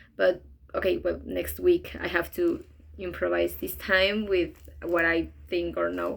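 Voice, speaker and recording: With a Spanish accent, a woman speaks at a fairly slow pace. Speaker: interpreting student. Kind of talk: class reflection video. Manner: halting, many fillers.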